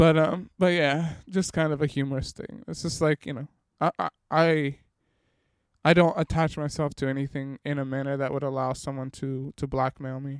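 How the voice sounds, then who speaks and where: At a fairly quick pace, a man speaks in a monotone, flat delivery with fairly high pitch and a dry, close sound with no echo. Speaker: podcast host. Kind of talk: solo podcast monologue, casual reflective. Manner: monotone, steady, reserved; halting, filler-heavy.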